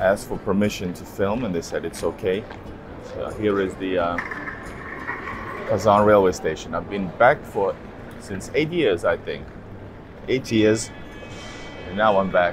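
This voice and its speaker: Noticeable background noise runs under a man's fairly low voice. He talks at a fairly slow pace with ordinary pitch variation and long, frequent pauses. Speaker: travel vlogger. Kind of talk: casual vlog chat. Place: station. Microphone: phone near.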